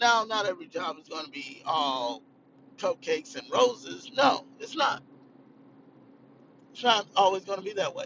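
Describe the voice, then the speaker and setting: A man speaks at a high pitch with very wide pitch swings, big swings in loudness and long, frequent pauses. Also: moderate pace. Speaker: vlogger. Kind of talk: casual monologue vlog.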